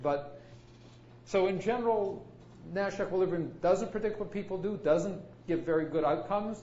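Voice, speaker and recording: Lively intonation marks this man's high-pitched voice. The recording carries audible room echo. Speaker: computer science professor. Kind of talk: lecture. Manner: fast.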